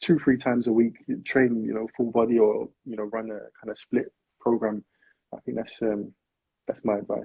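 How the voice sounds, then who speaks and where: Speaking with a South London accent, a man keeps a monotone, flat intonation and takes long, frequent pauses. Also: medium pitch for a man, moderate pace. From South London, England. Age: 20s. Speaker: personal trainer. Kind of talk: interview. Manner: soft-spoken.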